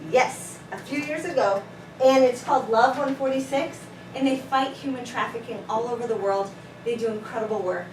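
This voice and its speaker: A woman with a fairly high voice talks at a fairly quick clip, her loudness swinging widely and her pitch moving in an ordinary way, with noticeable background noise and audible room echo. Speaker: teacher. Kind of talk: classroom lesson. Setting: classroom. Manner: fast.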